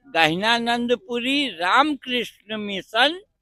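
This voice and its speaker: The speaker is a man with a high pitch. Lively intonation runs through his speech. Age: 70s. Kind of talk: interview. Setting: outdoors at a religious fair.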